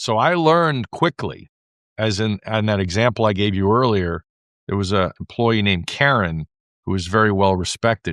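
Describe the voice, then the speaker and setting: In an American accent, a man speaks at a moderate pace and a fairly low pitch over a quiet background. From US Northeast, New York. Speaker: franchise consultant and entrepreneur. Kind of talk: interview.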